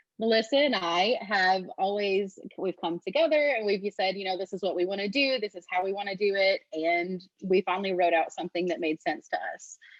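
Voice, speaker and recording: A woman with a Texan accent speaks at a fairly quick pace and medium pitch with ordinary pitch variation. The sound is dry and close, with no echo. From Texas. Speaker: true crime podcaster. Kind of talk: webinar presentation.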